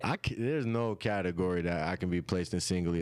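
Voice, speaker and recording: A man with a slight country accent talks at a very fast pace in a very deep, low pitch with ordinary pitch variation. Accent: slight country twang. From rural Oklahoma, US. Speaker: musician. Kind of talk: interview. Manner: casual.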